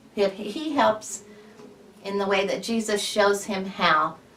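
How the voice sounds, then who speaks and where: Fairly slow speech from a woman at medium pitch, over noticeable background noise. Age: 60s. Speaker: patient giving a testimonial. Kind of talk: testimony. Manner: halting.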